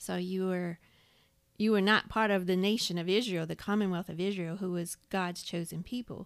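A plain, everyday voice at a moderate pace, fairly even intonation, very clean recording with a silent background. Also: woman, medium pitch for a woman. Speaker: podcast co-host. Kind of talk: Bible study discussion. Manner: reads scripture aloud.

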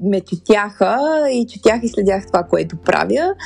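Noticeable background noise sits under a woman's fairly high voice, which rises and falls in an ordinary way. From Bulgaria, Sofia. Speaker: podcast host. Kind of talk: personal monologue. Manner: halting.

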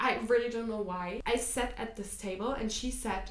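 Over noticeable background noise, a woman with a German accent speaks at a moderate pace and a fairly high pitch. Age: 20s. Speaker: podcast host. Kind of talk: casual chat.

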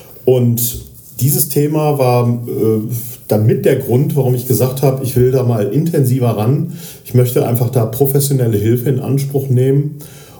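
Audible room echo and noticeable background noise surround a man of medium pitch. He keeps a moderate pace, very even loudness and fairly even intonation. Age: 50s. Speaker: radio journalist and podcast co-host. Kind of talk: casual chat. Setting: patient room in a rehab clinic. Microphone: poor recording quality.

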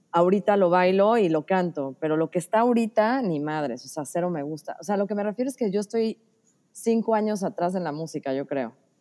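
With a dark, mellow tone and medium pitch, a woman talks at a fairly quick pace with lively intonation. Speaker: podcast guest. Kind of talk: casual chat.

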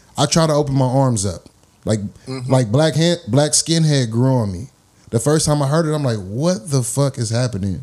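This is a man with an American accent and a plain, everyday voice. He speaks at a moderate pace with medium pitch and ordinary pitch variation. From US West Coast, Los Angeles. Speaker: podcast host. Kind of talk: casual interview.

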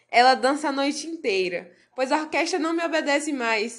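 A woman's high voice moves through lively, varied intonation. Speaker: literary podcast host. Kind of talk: reading aloud; casual chat.

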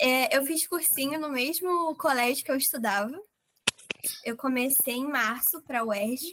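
With a bright, sharp tone and high pitch, a woman speaks at a fairly slow pace using ordinary pitch variation. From Rio de Janeiro, Brazil. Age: young. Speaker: medical school entrant. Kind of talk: interview.

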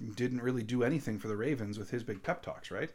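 A man's voice at medium pitch. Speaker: podcast host and Packers fan. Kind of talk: angry sports rant. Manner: fired-up, indignant, emphatic; sarcastic, scathing.

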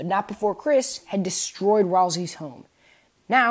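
Behind the voice, the background is quiet. The reading is delivered in an unforced reading voice.

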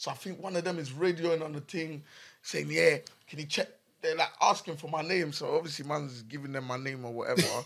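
Using ordinary pitch variation, a man talks at a fairly quick pace with a fairly high pitch. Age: young. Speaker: podcast co-host. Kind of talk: casual chat.

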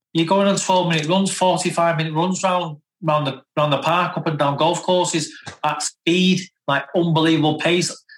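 A man speaks at a high pitch. His intonation is monotone and flat, and his loudness stays very even. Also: moderate pace. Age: 40s. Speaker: former professional footballer. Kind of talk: casual interview.

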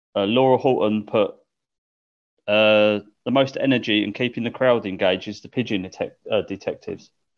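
A man with an ordinary speaking voice at medium pitch, fairly quick in pace, with fairly even intonation. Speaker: podcast co-host. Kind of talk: casual chat.

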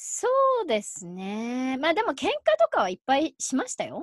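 The speech moves at a moderate pace in a dry, close sound with no echo. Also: woman. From Japan, Yokohama. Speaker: mother. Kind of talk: casual interview chat.

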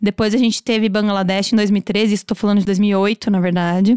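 At a moderate pace, a woman talks in a normal speaking voice at medium pitch, the sound dry and close with no echo. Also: very clean recording, silent background. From Brazil, São Paulo state countryside. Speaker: fashion designer and brand owner. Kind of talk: casual interview.

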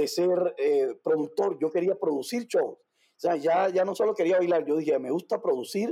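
Here a man speaks with a Cuban accent. His pace is moderate. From Cuba, Havana. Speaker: dancer and entrepreneur. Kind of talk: interview.

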